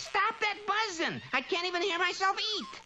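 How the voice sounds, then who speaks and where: Using a cartoonish character voice at an extremely high pitch, a woman speaks at a moderate pace with ordinary pitch variation over clear background noise. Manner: brash, fast-talking.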